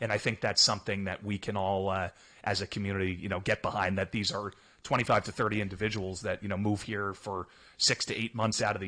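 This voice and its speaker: Very fast speech in a New Jersey accent, with a bright, sharp tone. The intonation is monotone and flat, over a quiet background. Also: man. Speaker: hockey team staff member. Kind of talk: radio interview.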